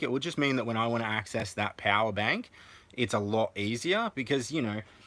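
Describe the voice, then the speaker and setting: Against a silent background in a very clean recording, a man with an Australian accent talks fairly quickly with lively intonation. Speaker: family vlogger. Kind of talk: live stream tour of van build. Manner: fast; hesitant, many fillers.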